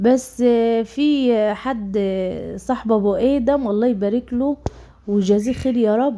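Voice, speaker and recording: The voice has a dark, mellow tone and an Egyptian accent, with ordinary pitch variation. The recording is very clean, with a silent background. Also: woman. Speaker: vlogger. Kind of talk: casual vlog talk. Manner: halting, many fillers.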